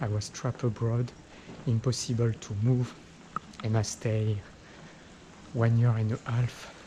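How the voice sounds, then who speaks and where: A man with a French accent talks at a fairly slow pace and medium pitch. His intonation is monotone and flat, with noticeable background noise. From France. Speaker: travel vlogger. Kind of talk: walking vlog talk to camera. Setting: outdoors on a street. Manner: halting, repetitive.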